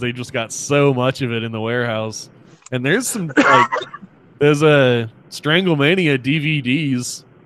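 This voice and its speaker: Speaking at a moderate pace with ordinary pitch variation, a man has a fairly high pitch and a plain, everyday voice. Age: 30s. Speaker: podcast host. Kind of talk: casual chat.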